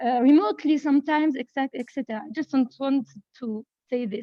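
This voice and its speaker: Speaking very fast in a French accent, a woman with a high pitch uses ordinary pitch variation. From France. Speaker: participant, company manager. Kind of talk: panel discussion comment. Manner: halting.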